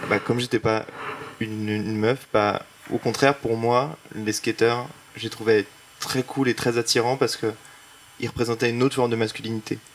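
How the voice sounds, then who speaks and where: A man talks at a moderate pace and medium pitch, with a flat, monotone delivery and long, frequent pauses. Noticeable background noise runs under the recording. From Paris. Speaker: illustrator, artist. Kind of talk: panel discussion. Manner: casual, hesitant.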